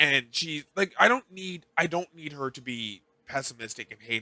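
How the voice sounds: Speaking at a moderate pace, a man sounds animated, his pitch swinging very widely, in a dry, close sound with no echo.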